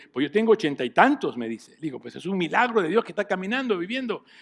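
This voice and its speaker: A high-pitched man speaks with lively intonation. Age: 60s. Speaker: pastor. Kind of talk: sermon.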